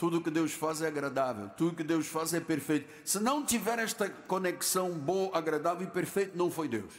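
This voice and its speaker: A man speaks at a high pitch with ordinary pitch variation and hardly any pauses. His loudness stays very even, and room echo is audible. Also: moderate pace. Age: 70s. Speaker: pastor. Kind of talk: sermon. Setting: church.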